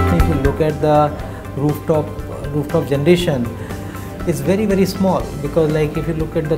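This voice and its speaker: Clear music sits in the background as a man talks at a very fast pace. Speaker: company founder and CEO. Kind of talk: interview answer. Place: office. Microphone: lapel.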